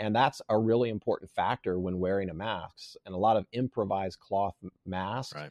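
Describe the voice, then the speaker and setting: Speaking at a moderate pace, a man with a plain, everyday voice keeps a fairly low pitch and fairly even intonation. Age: 40s. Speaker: survival instructor. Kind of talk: casual chat.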